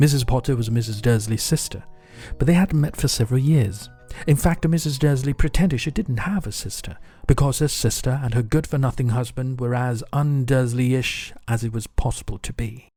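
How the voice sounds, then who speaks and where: Over music in the background, a man speaks at medium pitch. His pace is fairly quick and his pitch varies in an ordinary way. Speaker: English pronunciation teacher. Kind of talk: audiobook reading.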